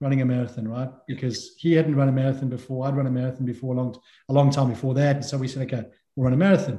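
The man's voice is somewhat breathy, with a dark, mellow tone at medium pitch. He talks at a very fast pace. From South Africa. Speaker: endurance swimmer. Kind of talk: interview. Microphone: echoey room.

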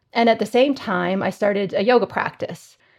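A woman with a Canadian accent speaks in a plain, everyday voice at a fairly quick pace. The background is quiet and her pitch varies in an ordinary way. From Canada (Calgary). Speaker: psychology researcher and professor. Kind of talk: interview conversation.

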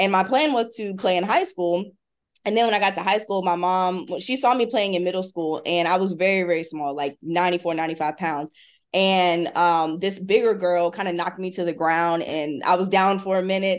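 A woman talks at a fairly quick pace with an American accent, using an ordinary speaking voice at medium pitch with ordinary pitch variation. The background is quiet. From US South, Hampton, Virginia. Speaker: strength and conditioning coach. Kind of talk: casual chat.

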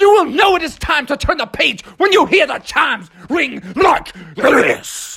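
Using a put-on character voice, a man talks at a moderate pace in an extremely high pitch. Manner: playful, storybook narration.

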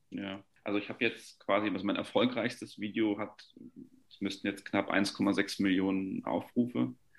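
A man's fairly low pitch with vocal fry. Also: ordinary pitch variation, moderate pace, big swings in loudness. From Franconia, Germany (Nuremberg). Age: 20s. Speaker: luxury real estate agent. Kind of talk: casual interview.

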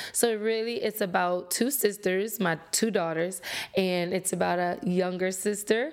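Someone speaks at a moderate pace in a Louisiana accent. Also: woman, medium pitch for a woman, ordinary pitch variation. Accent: Louisiana Southern US. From Louisiana, Lafayette. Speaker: podcast host, motivational speaker. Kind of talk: motivational monologue. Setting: solo recording to camera. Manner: casual with fillers.

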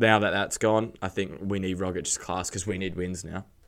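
A man with a very deep, low pitch and an Australian accent at a moderate pace, on a very clean recording with a silent background. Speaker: football podcast panelist. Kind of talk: casual chat.

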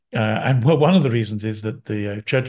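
Somewhat breathy, a man talks at a fairly quick pace with ordinary pitch variation over a quiet background. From London, England. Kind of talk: interview conversation.

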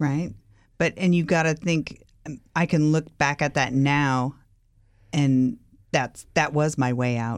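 With an American accent, a woman speaks very slowly in a very deep, low voice, using ordinary pitch variation, very even loudness and long, frequent pauses on a very clean recording with a silent background. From California. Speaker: recovered alcoholic. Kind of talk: interview testimony.

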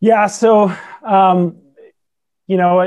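A man with a slight non-native accent and a dark, mellow tone speaks very slowly against a quiet background. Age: 40s. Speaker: startup founder and angel investor.

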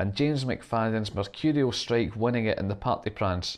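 Against a quiet background, a man speaks at a medium pitch with a Scottish accent. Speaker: football podcast host. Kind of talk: scripted narration.

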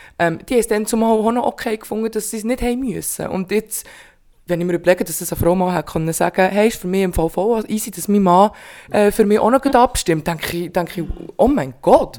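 A woman's dark, mellow tone at medium pitch, with ordinary pitch variation and a fairly quick pace. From Bern, Switzerland. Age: 20s. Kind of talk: casual chat.

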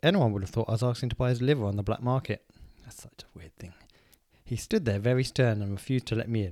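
On a very clean recording with a silent background, a man with an English accent talks at a very fast pace with a medium pitch and ordinary pitch variation. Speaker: podcast co-host. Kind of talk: casual chat. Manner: quiet.

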